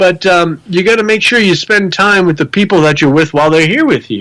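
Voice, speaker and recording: A man speaks with an American accent at a high pitch. His bright, sharp tone carries lively intonation at a fairly quick pace. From Rhode Island, US (Providence area). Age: 40s. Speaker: motivational speaker and paranormal investigator. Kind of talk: podcast interview.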